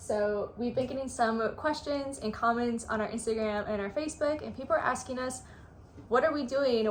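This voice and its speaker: Noticeable background noise sits behind a woman's high-pitched voice. She speaks at a fairly quick pace. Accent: American. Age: 20s. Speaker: travel vlogger. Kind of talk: casual chat. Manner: hesitant, many fillers.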